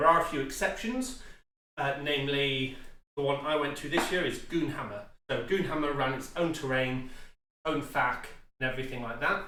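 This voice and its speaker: At a moderate pace, a man with a British accent speaks amid audible room echo. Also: fairly high pitch for a man, ordinary pitch variation. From UK. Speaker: tabletop gaming youtuber. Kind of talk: tutorial. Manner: casual with frequent fillers.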